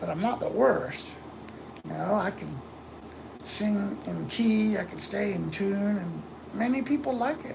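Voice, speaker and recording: Speaking with an American accent at a fairly slow pace, this voice leaves long, frequent pauses over noticeable background noise. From Florida, US. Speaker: livestreamer. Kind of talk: casual chat. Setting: live stream.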